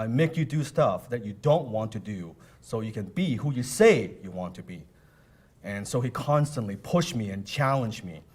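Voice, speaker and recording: Speaking in a non-native accent, a man with a medium pitch talks at a moderate pace, somewhat breathy and animated, with lively intonation and big swings in loudness. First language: not English. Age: 30s. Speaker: motivational speaker. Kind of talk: motivational seminar talk.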